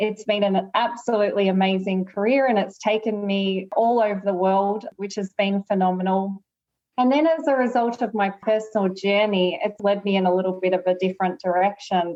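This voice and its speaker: Speaking in an Australian accent, a woman keeps her loudness very even and her intonation fairly even. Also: medium pitch for a woman, moderate pace. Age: 40s. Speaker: lawyer and author. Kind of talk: interview.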